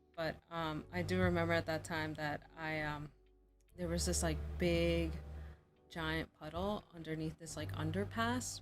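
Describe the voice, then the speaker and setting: Music plays behind a soft-spoken woman. Her very deep, low voice makes very wide pitch swings. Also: fairly slow pace. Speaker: artist streaming while drawing. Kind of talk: casual chat while drawing on livestream. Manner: soft-spoken, talks very low; hesitant, many fillers.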